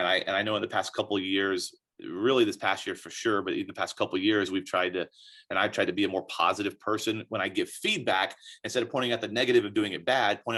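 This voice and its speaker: A man with an American accent at a very fast pace, over a quiet background. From Texas, Dallas. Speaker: college soccer coach. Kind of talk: interview. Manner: loud, animated.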